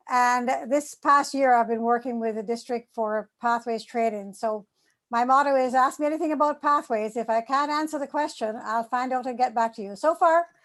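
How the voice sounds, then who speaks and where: Here a woman speaks with a slight Jamaican accent and a high pitch. Her pace is moderate and her pitch variation ordinary. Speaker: public speaking trainer. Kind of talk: self-introduction. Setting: video call.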